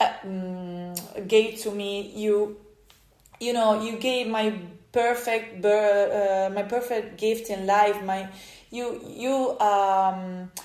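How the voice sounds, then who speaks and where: A woman speaks very slowly in an Italian accent, her medium-pitched voice monotone and flat. The room has audible echo. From Italy. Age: 30s. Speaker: podcaster. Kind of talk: personal storytelling monologue. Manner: halting, many fillers and restarts.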